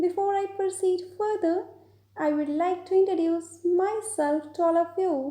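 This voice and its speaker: Extremely high in pitch, a woman's voice carries a dark, mellow tone and an Indian accent. She speaks at a fairly slow pace with fairly even intonation. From Punjab, India. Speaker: IELTS trainer. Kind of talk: educational lecture.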